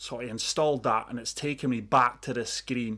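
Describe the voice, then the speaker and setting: In a very clean recording with a silent background, a man with a Scottish accent speaks at a moderate pace with fairly even intonation. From Scotland. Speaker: gaming YouTuber. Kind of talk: gameplay commentary.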